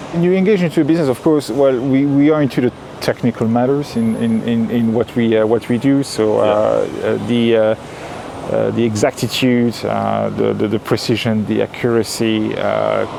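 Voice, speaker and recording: Over noticeable background noise, a man talks at a moderate pace with hardly any pauses. His loudness stays very even. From Belgium. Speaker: contract manufacturing business owner. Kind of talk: interview answer.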